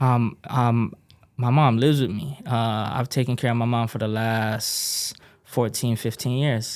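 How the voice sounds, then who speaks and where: Medium-pitched and fairly even in intonation, a man speaks at a fairly slow pace. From Texas, after early childhood in Hawaii. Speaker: music producer and pipefitter. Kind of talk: casual interview conversation. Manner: casual, laid-back with many fillers.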